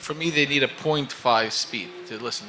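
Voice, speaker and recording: The speaker is a man with ordinary pitch variation. Noticeable background noise is present. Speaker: interviewer and magazine writer. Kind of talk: interview. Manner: fast; animated.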